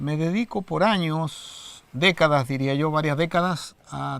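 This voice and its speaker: A man's high-pitched voice moves at a very slow pace. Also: very clean recording, silent background. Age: 60s. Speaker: Mapuche silversmith. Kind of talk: interview testimony.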